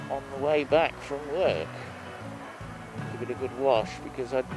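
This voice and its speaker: With music in the background, a man speaks at a fairly high pitch and a fairly slow pace, leaving long, frequent pauses. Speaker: motorcycle vlogger. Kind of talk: casual motovlog talk while riding. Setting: outdoors, helmet microphone on motorcycle.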